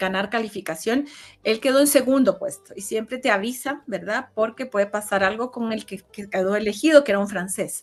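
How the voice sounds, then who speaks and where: The pitch varies in an ordinary way. Music plays in the background. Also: woman. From Chile. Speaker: interview guest. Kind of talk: casual interview. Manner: hesitant, many fillers.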